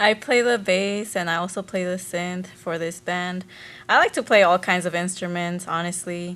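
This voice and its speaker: Using fairly even intonation, a woman with a plain, everyday voice speaks at a medium pitch with an American accent. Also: moderate pace. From Las Vegas, Nevada. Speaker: musician, bassist. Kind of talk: casual interview. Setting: studio.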